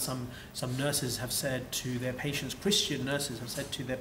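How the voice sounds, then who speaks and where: A fairly quick, fairly even delivery with a British accent over noticeable background noise. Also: man. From UK. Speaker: Islamic lecturer. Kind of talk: interview answer.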